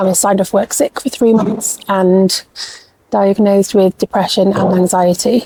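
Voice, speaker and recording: In an English accent, a woman talks at a moderate pace and medium pitch with monotone, flat intonation. The sound is dry and close, with no echo. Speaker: life coach and small business founder. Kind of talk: casual vlog talk to camera. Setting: pop-up shop in a department store. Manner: soft-spoken, near whisper.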